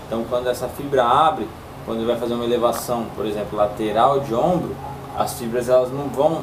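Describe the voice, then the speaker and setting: Talking very fast with fairly even intonation, a man is heard against noticeable background noise. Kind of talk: explanatory talk to camera. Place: shop. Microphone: camera far.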